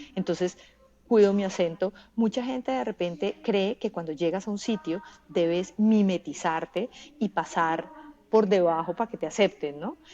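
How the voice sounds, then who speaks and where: A woman at medium pitch with ordinary pitch variation and a moderate pace, in a strong Bogotá accent. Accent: Bogotá Colombian accent, kept strong. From Colombia, Bogotá. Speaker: journalist and audiovisual producer. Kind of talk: podcast interview.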